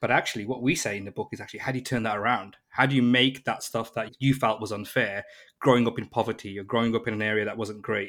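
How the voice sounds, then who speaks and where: A man speaks at a very fast pace with medium pitch and fairly even intonation. The recording is very clean, with a silent background. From Birmingham, England. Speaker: entrepreneur and author. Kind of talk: interview.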